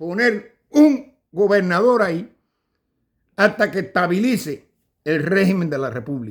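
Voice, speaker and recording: Speaking at a fairly slow pace with a Cuban accent, a man swings his pitch very widely. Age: 60s. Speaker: political commentator. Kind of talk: casual monologue. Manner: halting.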